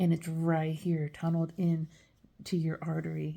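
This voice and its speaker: The tone is dark, mellow and somewhat breathy. Delivery comes at a moderate pace with monotone, flat intonation. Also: woman. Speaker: dialysis care worker. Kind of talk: casual explainer video. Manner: hesitant, many fillers and repeated words.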